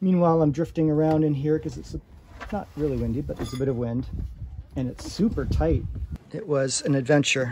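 A man speaks at a fairly quick pace with ordinary pitch variation amid noticeable background noise. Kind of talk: casual vlog chat. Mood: relieved, amused. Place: boat.

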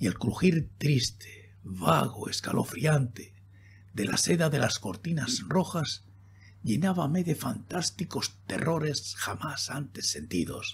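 Theatrical and intense, a man speaks very slowly at medium pitch, with vocal fry and very wide pitch swings. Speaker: audiobook narrator. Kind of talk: dramatic narration of a horror poem, read aloud in an intimate, spooky tone. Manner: slow, hushed, theatrical with suspenseful pauses; intense, solemn, ominous.

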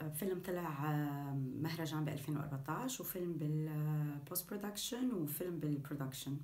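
A woman's very deep, low voice with a Syrian accent, ordinary pitch variation, very even loudness and hardly any pauses, plus audible room echo. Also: moderate pace. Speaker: actress. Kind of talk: actor self-introduction. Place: home room. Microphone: phone near.

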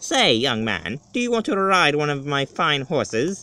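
In a put-on character voice, the speaker talks at a moderate pace with a low-to-middle pitch. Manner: sneaky.

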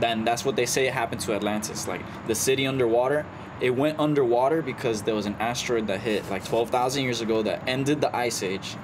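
A man talks at a very fast pace with fairly even intonation and medium pitch. Noticeable background noise runs underneath. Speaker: podcast co-host. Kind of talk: casual chat.

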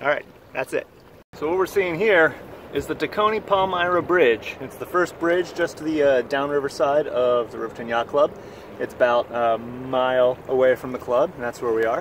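A man at a moderate pace with ordinary pitch variation, in a dry sound with no echo over light background noise. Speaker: sailor vlogger. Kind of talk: casual vlog chat. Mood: enthusiastic, relaxed. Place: boat. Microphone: phone near.

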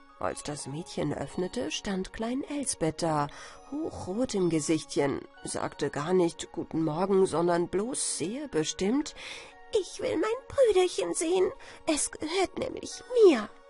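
Music behind a woman's very slow speech. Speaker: storyteller. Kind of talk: bedtime story.

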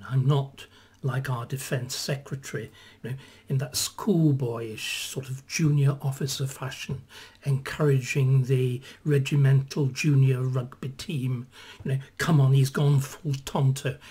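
Somewhat breathy, a man speaks at a fairly slow pace. His intonation is fairly even. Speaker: historian commentator. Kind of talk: commentary. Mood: opinionated, slightly sardonic. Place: home room. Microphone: webcam.

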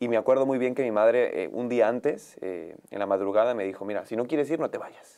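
Over a quiet background, a man talks at a fairly quick pace with hardly any pauses and ordinary pitch variation. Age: 20s. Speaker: youth pastor. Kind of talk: testimony. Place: studio.

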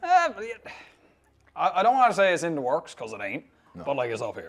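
A man with a Newfoundland accent at a very fast pace. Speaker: social media personality. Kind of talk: interview answer. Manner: casual, profane. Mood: relaxed, joking. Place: studio.

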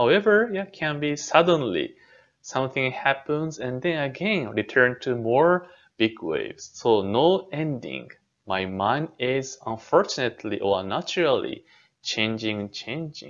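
A man's voice moves through very wide pitch swings as he speaks at a fairly slow pace. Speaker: temple minister. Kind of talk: dharma talk lecture. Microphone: webcam.

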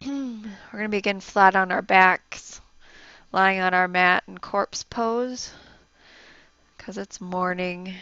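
A soft-spoken woman talks slowly at a medium pitch with vocal fry. Her tone is bright and sharp.

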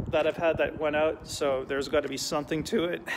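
A man's voice over noticeable background noise. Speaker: vlogger. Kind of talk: casual vlog chat. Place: tunnel cave. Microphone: phone near.

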